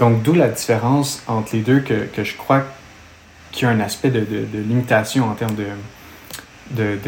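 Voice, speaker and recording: A man in a Quebec accent at a moderate pace, monotone and flat, with noticeable background noise. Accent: Québécois. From Quebec, Montreal. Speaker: exercise physiologist. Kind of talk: technical interview discussion.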